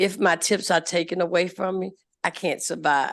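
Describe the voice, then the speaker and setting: A woman's monotone, flat intonation against a quiet background. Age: 60s. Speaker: restaurant server. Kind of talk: public testimony.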